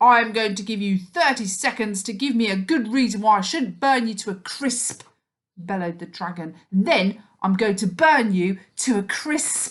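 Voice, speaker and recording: Using a loud, booming, put-on character voice, a woman talks at a moderate pace and a medium pitch. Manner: threatening.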